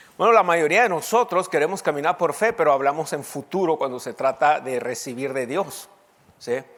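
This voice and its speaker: With lively intonation, a man delivers his words at a fairly quick pace. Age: 50s. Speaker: pastor. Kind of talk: sermon.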